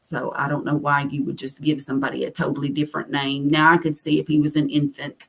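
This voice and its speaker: A woman speaks with a Southern US accent at a very deep, low pitch. Her intonation is monotone and flat. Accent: acquired Southern US. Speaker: carnivore diet vlogger. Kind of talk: live stream chat reading viewer comments. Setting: solo livestream.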